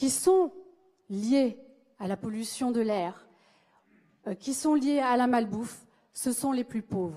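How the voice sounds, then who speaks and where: This woman has a high pitch and a dark, mellow tone. She talks at a very slow pace with lively intonation. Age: 30s. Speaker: speech therapist and election candidate. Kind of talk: political rally speech. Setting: stage with audience.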